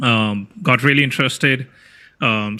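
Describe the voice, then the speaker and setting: A man speaks at a fairly slow pace. His tone is bright and sharp. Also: very clean recording, silent background. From India. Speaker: software developer and tech YouTuber. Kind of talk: casual interview chat. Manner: hesitant, many fillers and restarts.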